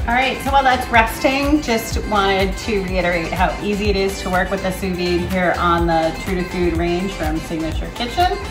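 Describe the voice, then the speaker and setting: With clear music playing behind her, a woman talks at a moderate pace with hardly any pauses. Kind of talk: cooking demo tutorial. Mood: friendly upbeat. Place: kitchen. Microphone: camera far.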